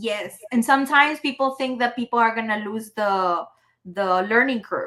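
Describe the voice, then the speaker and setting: A woman with a Spanish accent, fairly high in pitch, with a bright, sharp tone. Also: ordinary pitch variation, moderate pace. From Mexico, Chihuahua. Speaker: entrepreneur and AI consultant. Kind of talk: podcast interview.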